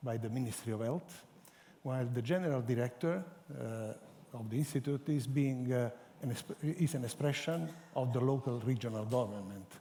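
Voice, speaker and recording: With an Italian accent, a man speaks at a moderate pace in a medium pitch, his dark, mellow tone carrying ordinary pitch variation. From Italy. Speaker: cancer center scientific director. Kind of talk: panel discussion. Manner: halting.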